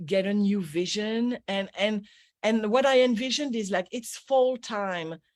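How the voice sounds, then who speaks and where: Speaking in a French accent, a woman goes at a fairly slow pace. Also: very clean recording, silent background. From France. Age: 60s. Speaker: energy healer and business coach. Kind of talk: radio interview. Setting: radio show. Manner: animated.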